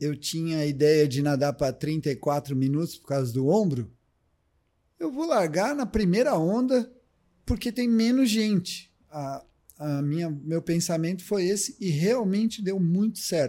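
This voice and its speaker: A man with a high-pitched, dark and mellow voice speaks at a fairly slow pace, his pitch swinging very widely. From Brazil, São Paulo state (Ribeirão Preto). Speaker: triathlon coach. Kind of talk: casual chat.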